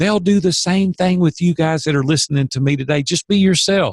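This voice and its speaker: A somewhat breathy man with a Southern US accent, animated in tone with lively intonation, in a dry, close sound with no echo. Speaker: business coach. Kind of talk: podcast interview. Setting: podcast.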